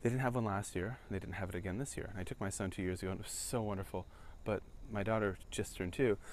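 A man talks at a very fast pace. There is light background noise. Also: fairly low pitch for a man, fairly even intonation, dry sound with no echo. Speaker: vlogger. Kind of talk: casual vlog chat. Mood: wistful, reflective. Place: street. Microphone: phone near.

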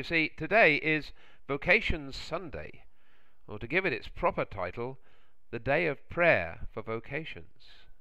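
Big pitch swings mark this man's medium-pitched voice. He talks at a fairly slow pace.

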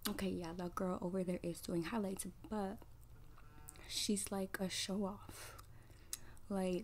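A woman speaks in a monotone, flat intonation at very even loudness, with light background noise. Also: fairly slow pace. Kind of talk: roleplay monologue to the viewer. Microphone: phone near.

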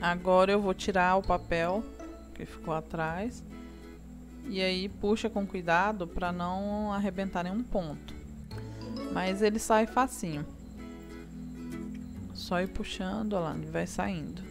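Clear music plays in the background as a woman speaks at a fairly slow pace with long, frequent pauses. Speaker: craft instructor. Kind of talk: tutorial. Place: home room.

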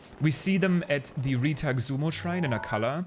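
A man with a fairly high pitch and lively intonation, over noticeable background noise. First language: not English. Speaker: gaming YouTuber and streamer. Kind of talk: gameplay commentary. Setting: home recording at PC. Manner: casual, with frequent fillers.

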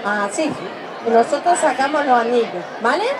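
A woman talks at a moderate pace, her fairly high pitch carrying lively intonation. Clear crowd noise and clear background noise fill the space behind her.

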